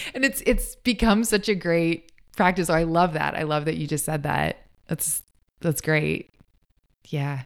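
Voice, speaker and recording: A woman's fairly low voice with vocal fry, at a fairly slow pace with long, frequent pauses, in a very clean recording with a silent background. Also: lively intonation. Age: 30s. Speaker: photographer, educator and public speaker. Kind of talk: casual chat.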